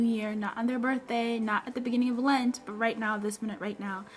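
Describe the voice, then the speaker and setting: Noticeable background noise sits behind a woman's fairly high voice. She moves at a fairly quick pace. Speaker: personal development coach. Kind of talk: live stream Q&A chat. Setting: live stream broadcast with music. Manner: animated.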